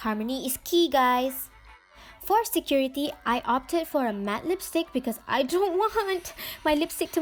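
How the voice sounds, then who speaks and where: A woman's high-pitched voice, lively in intonation, at a fairly slow pace. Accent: Malaysian. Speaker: beauty vlogger. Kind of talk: casual chat; makeup tutorial.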